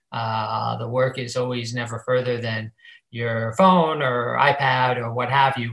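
With an ordinary speaking voice, a man talks at a fairly slow pace, using a medium pitch and fairly even intonation. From Ohio, Cleveland. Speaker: finance professional. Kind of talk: interview.

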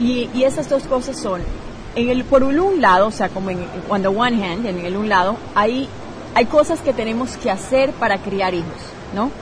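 A woman's fairly high, lively voice at a moderate pace, with noticeable background noise and audible room echo. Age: 30s. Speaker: parenting coach and blogger. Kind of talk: interview. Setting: hotel lobby at a conference.

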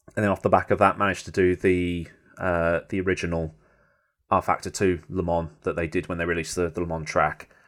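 A man with a very deep, low voice talks at a fairly quick pace in a flat monotone. The recording is very clean, with a silent background. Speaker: sim racing YouTuber. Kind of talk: casual interview chat.

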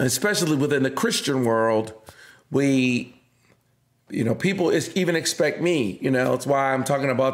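Speaking at a fairly quick pace, a man with a medium pitch and ordinary pitch variation is heard on a very clean recording with a silent background. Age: 50s. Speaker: pastor. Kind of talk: casual chat. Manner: halting.

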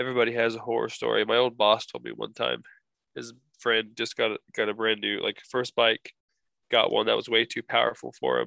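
Recorded dry and close with no echo and a quiet background, a man talks at a fairly quick pace. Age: 20s. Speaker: podcast co-host. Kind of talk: casual chat.

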